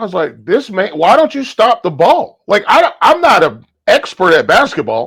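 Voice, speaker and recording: Animated tone, moderate pace and an American accent. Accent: Southern US, comes out at times. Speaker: podcast guest. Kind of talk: casual chat.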